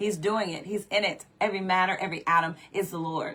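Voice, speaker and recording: An unremarkable speaking voice at a moderate pace, with ordinary pitch variation, in a very clean recording with a silent background. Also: woman. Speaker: preacher. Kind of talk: sermon.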